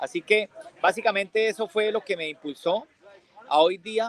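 Ordinary pitch variation marks a man's voice, recorded with a dry, close sound and no echo. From Colombia, Bucaramanga, Santander. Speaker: tourism entrepreneur. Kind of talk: interview.

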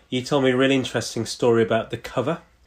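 Speaking at a fairly quick pace, a man with a British accent holds a medium pitch. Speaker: podcast co-host. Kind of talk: casual conversation. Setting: video call.

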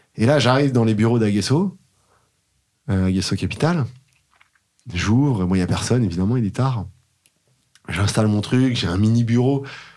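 The tone is dark and mellow, with ordinary pitch variation at a moderate pace. Long pauses come frequently. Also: man, medium pitch for a man. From Paris, France. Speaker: tech startup founder. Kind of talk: casual interview. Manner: animated.

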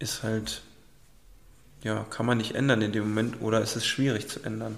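A man speaks at a moderate pace with a fairly low pitch and monotone, flat intonation, leaving long, frequent pauses. Audible room echo fills the recording. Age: 20s. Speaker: student, partner of the host. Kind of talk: casual chat.

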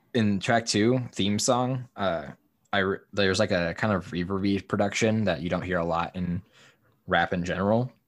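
The speech moves at a moderate pace with ordinary pitch variation, captured in a very clean recording against a silent background. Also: man, fairly low pitch for a man. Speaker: podcast host. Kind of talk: casual chat. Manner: laughs often, easygoing.

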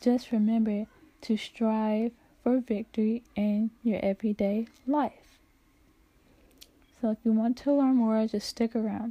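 A woman's fairly high, dark, mellow, somewhat breathy voice with monotone, flat intonation, a fairly slow pace, long, frequent pauses, and a dry, close sound with no echo. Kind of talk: casual faith podcast outro. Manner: halting, jumbled words.

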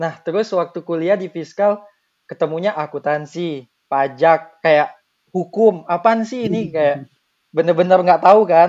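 High-pitched male speech, its pitch varying in an ordinary way. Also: moderate pace. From Bengkulu, Indonesia. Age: 20s. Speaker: university student. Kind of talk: casual chat.

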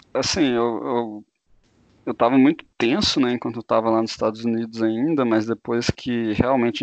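A man speaks at a moderate pace in a plain, everyday voice of medium pitch. The sound is dry and close with no echo, against a quiet background. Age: 20s. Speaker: engineering student. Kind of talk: casual interview.

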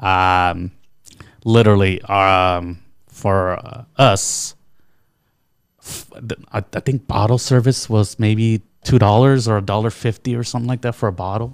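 In an American accent, a man speaks at a fairly low pitch with fairly even intonation over a very clean recording and a silent background. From California, Bakersfield. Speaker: war veteran. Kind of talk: casual chat. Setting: studio. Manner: halting.

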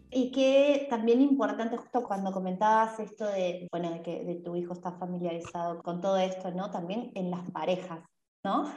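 Here a woman has an unremarkable speaking voice at a medium pitch. She talks at a moderate pace with ordinary pitch variation. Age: 30s. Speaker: podcast host and dance teacher. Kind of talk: interview.

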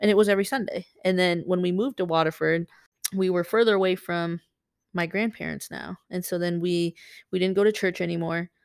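An American-accented woman talks fairly quickly in an unremarkable speaking voice at medium pitch with fairly even intonation, recorded very cleanly against a silent background with a dry, close sound and no echo. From Michigan, US (Saginaw). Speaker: basketball coach. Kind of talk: interview, casual.

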